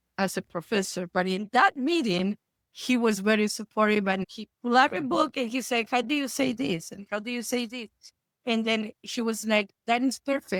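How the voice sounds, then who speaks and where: In an Argentine accent, a woman speaks at a moderate pace and a fairly high pitch with ordinary variation, the sound dry and close with no echo. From Argentina. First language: Spanish. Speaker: therapist. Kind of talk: interview.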